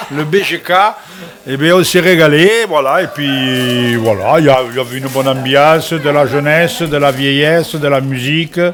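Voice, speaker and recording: There is noticeable background noise behind the speaker. A man talks at a fairly high pitch. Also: ordinary pitch variation, moderate pace. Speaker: TV show co-host. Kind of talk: casual closing chat on TV cooking show.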